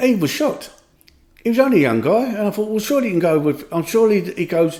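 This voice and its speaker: The speaker has a Cockney accent and a very fast pace. The intonation is lively. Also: man, high pitch for a man. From London. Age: 60s. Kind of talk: podcast conversation. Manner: down to earth, straight to the point.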